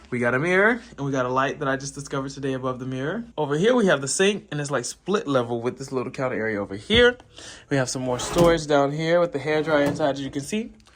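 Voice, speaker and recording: Very fast, fairly high-pitched male speech with lively intonation over noticeable background noise. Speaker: vlogger and touring musical theatre performer. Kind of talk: casual vlog. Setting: hotel room. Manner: casual and chatty.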